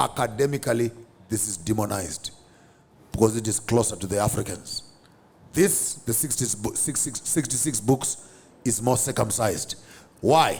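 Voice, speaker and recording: A man speaks at a moderate pace with a medium pitch and ordinary pitch variation. His voice is somewhat breathy, with long, frequent pauses. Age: 50s. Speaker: public speaker and theologian. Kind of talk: podcast interview. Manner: animated.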